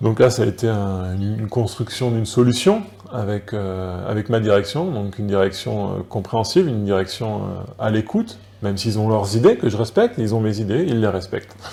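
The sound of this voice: Here a man talks at a moderate pace with fairly low pitch. His intonation is lively and his tone is dark and mellow.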